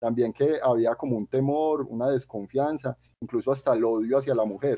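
A man's unremarkable speaking voice at medium pitch and moderate pace, with fairly even intonation. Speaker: podcast co-host. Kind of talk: casual chat.

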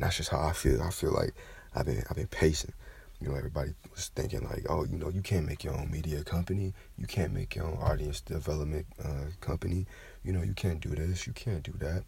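This man talks at a very fast pace in a very deep, low voice with vocal fry and ordinary pitch variation. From Kentucky. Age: 20s. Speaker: podcaster. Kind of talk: casual monologue. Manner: animated.

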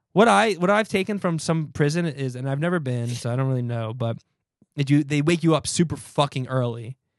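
An ordinary speaking voice from a man with a fairly high pitch, at a fairly quick pace with lively intonation, over a quiet background. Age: 30s. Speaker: musician, podcast co-host. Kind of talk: casual chat.

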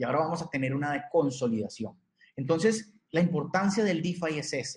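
This man has a normal speaking voice, pitched fairly high. He talks at a fairly quick pace with lively intonation. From Costa Rica. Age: 30s. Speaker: crypto educator. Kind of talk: interview.

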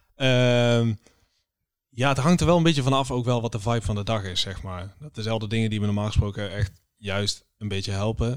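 In a very clean recording with a silent background, a man with an ordinary speaking voice talks at medium pitch and a moderate pace with ordinary pitch variation. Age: 20s. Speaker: podcast co-host, creative designer. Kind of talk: casual chat.

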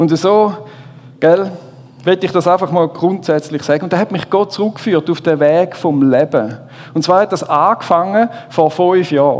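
High-pitched and at very even loudness, a man's voice shows ordinary pitch variation over noticeable background noise. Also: moderate pace. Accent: Swiss. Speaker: preacher. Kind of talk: sermon. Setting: stage with audience.

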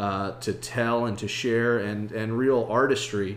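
Over noticeable background noise, a man talks at a medium pitch with a monotone, flat intonation. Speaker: podcast host. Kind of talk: casual interview.

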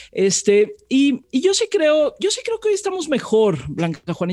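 Recorded with a dry, close sound and no echo, a woman with a dark, mellow tone speaks at a moderate pace. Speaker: radio journalist and news anchor. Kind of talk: interview conversation.

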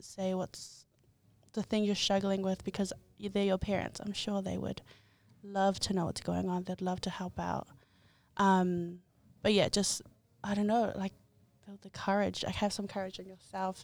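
Over music in the background, a woman with a New Zealand accent speaks at a moderate pace in a flat monotone, leaving long, frequent pauses. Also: medium pitch for a woman. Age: 20s. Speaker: content creator. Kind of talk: casual chat.

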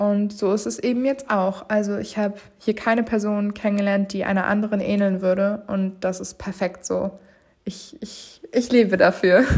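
Speaking at a medium pitch and a moderate pace, a woman keeps a monotone, flat intonation. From northern Germany, Mecklenburg-Vorpommern and Berlin. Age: 20s. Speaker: podcast host and law student. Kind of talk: casual solo monologue. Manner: loud, laughs a lot; unscripted, many fillers.

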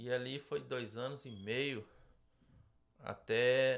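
The intonation of this man is fairly even. His voice sits at a medium pitch. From Minas Gerais, Brazil. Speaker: business owner. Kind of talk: interview. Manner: halting.

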